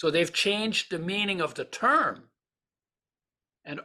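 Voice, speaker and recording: A man talks at a moderate pace in a bright, sharp tone. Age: 80s+. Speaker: nutrition author and oil manufacturer. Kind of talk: interview.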